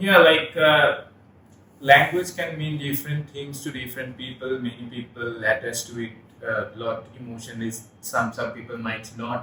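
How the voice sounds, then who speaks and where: Spoken with a Bengali accent over noticeable background noise, the voice shows ordinary pitch variation and big swings in loudness. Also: man, medium pitch for a man, moderate pace. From India, West Bengal. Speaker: podcast co-host. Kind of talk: casual chat. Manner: halting.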